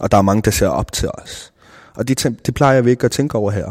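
A man speaks with an unremarkable speaking voice. His pitch is medium, with ordinary variation. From South Greenland, Nanortalik. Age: 20s. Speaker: rapper and video producer. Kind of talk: interview. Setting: cultural center in Nuuk.

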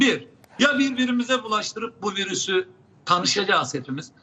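Lively intonation from a man at a moderate pace, with noticeable background noise. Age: 70s. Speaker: public health professor. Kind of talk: live TV interview. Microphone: unstable connection, drops out.

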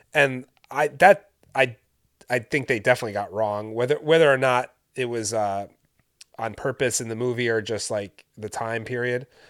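With a plain, everyday voice, a man speaks at a medium pitch and a moderate pace, showing ordinary pitch variation. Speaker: co-host. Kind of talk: casual chat.

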